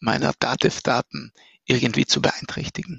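A man's voice with vocal fry and an Austrian accent, dry and close with no echo. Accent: Austrian, noticeable. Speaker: startup founder and CEO. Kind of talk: interview about his software product.

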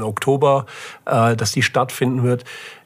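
A man's voice in a flat, monotone intonation. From Germany, Böblingen/Sindelfingen area (Swabia). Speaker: startup incubator CEO. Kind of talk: casual interview.

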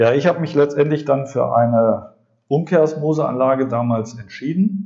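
This man's voice has a dark, mellow tone and is somewhat breathy. His pitch is fairly high. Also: ordinary pitch variation, moderate pace. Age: 40s. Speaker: podcast host and drinking water consultant. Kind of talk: monologue podcast. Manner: animated; frequent filler sounds.

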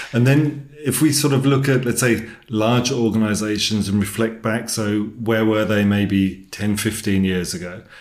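A man with a fairly low pitch speaks at a moderate pace, with audible room echo in the recording. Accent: English. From England. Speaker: podcast host. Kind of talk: interview conversation. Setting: in person, same room.

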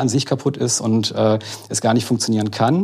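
At a moderate pace, a man uses an unremarkable speaking voice with a medium pitch and fairly even intonation. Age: 40s. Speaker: agile coach. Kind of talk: casual chat.

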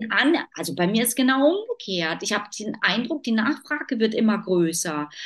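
At a moderate pace, a woman with a fairly high voice talks, her pitch swinging very widely. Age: 40s. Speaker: decision-making expert and business consultant. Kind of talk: interview.

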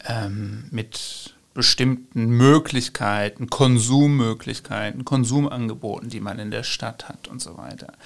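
Speaking very slowly at a medium pitch, a man barely pauses at all. His intonation is fairly even, while his loudness swings widely. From western Germany (Ruhr area, Bochum). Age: 30s. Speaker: political scientist, author. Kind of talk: interview.

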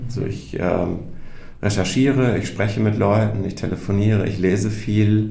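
A man with a fairly low pitch and ordinary pitch variation talks at a moderate pace, with audible room echo and noticeable background noise. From North Rhine-Westphalia, Germany. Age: 40s. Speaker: journalist, project participant. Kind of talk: casual chat.

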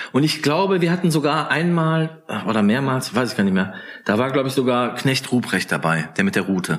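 Speaking at a fairly quick pace, the man keeps a calm tone and very even loudness. His pitch swings very widely. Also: medium pitch for a man. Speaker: author. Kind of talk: casual chat.

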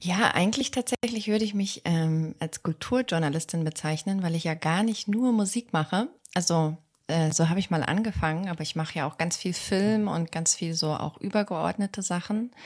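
Somewhat breathy, a woman speaks at fairly low pitch with ordinary pitch variation. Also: moderate pace. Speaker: music podcast guest. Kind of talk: casual music discussion. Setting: remote call from another time zone.

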